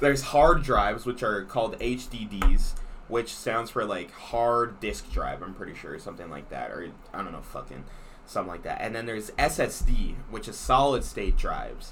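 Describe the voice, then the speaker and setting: A man talks at a moderate pace, with big swings in loudness. Audible room echo and noticeable background noise surround him. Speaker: podcast co-host. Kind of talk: casual chat. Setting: small room with window open.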